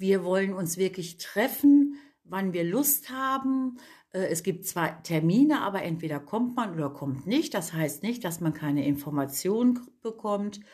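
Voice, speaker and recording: This woman's voice sits at a medium pitch and sounds somewhat breathy. She talks at a fairly slow pace with very wide swings in pitch. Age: 50s. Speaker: cosmetics entrepreneur, women's network founder. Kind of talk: casual interview chat.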